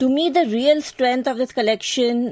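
A woman with an Indian accent at a moderate pace, ordinary pitch variation, and a dry, close sound with no echo. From India, Mumbai. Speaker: book blogger. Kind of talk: prepared book recommendation.

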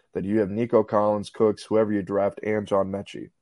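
A man with an ordinary speaking voice, fairly low in pitch, at a fairly quick pace. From Houston area, Texas (Clear Lake). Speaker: sports reporter. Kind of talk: casual chat.

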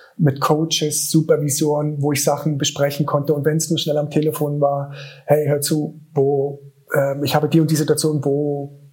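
A man's flat, monotone voice at a moderate pace. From eastern Germany, Königs Wusterhausen near Berlin. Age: 40s. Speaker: special-education school director. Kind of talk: interview.

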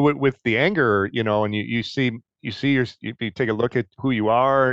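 A man with a Detroit accent talks at a moderate pace, his pitch medium with ordinary variation. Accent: Inland North American (Detroit). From US Midwest, Detroit. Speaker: co-host, meditation student. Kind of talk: casual chat.

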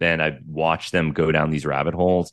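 A man with an American accent talks at a moderate pace over a quiet background. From United States. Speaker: journalist and psychedelic researcher. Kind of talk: interview conversation.

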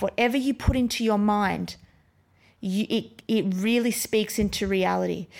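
A woman with an Australian accent speaks at a moderate pace, fairly high in pitch with fairly even intonation, on a very clean recording with a silent background. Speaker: podcast host and brain coach. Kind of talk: pep talk. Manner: urgent, motivational, direct address; repetitive, emphatic.

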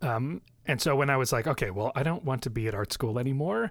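Recorded very cleanly over a silent background, a man with an American accent speaks at a medium pitch with lively intonation. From US Midwest, Chicago suburbs. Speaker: psychology professor and podcaster. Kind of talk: casual interview chat. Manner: frequent laughter.

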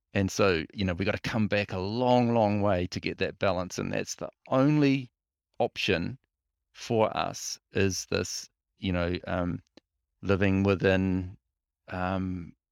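A fairly low-pitched man with a New Zealand accent, at a fairly slow pace with fairly even intonation, on a very clean recording with a silent background and a dry, close sound with no echo. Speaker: freshwater ecologist. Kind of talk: interview. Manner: halting.

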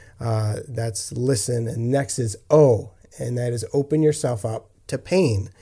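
A man's voice sits at medium pitch with a dark, mellow tone and a somewhat breathy quality. He speaks at a fairly slow pace. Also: ordinary pitch variation. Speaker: podcast co-host. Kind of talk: casual chat, faith discussion. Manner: laughs often, friendly.

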